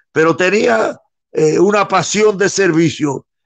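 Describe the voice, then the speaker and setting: Ordinary pitch variation accompanies a fairly slow pace in this speech. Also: man. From Cuba, Santiago de Cuba. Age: 90s. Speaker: former politician and historical witness. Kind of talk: interview.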